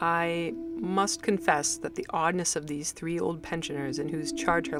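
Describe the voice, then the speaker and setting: The pace is moderate. Music can be heard in the background. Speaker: amateur audiobook narrator. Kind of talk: short story reading.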